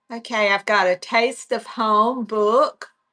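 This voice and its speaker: With a Southern US accent and a bright, sharp tone, the speaker goes at a fairly slow pace in monotone, flat intonation, on a very clean recording with a silent background. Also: woman. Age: 70s. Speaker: online reseller. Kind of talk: live sales stream. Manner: casual, halting.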